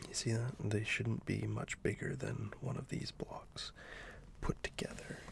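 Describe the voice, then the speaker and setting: Whispered words come at a fairly slow speed amid noticeable background noise. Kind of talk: soft-spoken ASMR drawing video, casual talk to camera. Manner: soft-spoken.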